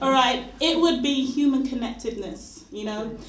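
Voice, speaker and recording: With audible room echo and noticeable background noise, a woman talks. She speaks at a moderate pace with ordinary pitch variation. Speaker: spoken word poet. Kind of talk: spoken word performance.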